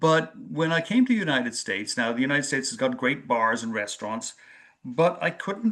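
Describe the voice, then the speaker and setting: With an American accent, a man speaks in a lively, up-and-down intonation. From Ireland, South County Dublin. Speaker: community foundation director. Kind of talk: webinar presentation. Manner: halting, many fillers.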